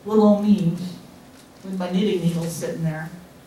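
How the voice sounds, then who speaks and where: A woman's voice with fairly even intonation, noticeable background noise and audible room echo. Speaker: knitting guild president. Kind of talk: club meeting announcements. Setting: meeting room with audience, microphone. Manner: loud.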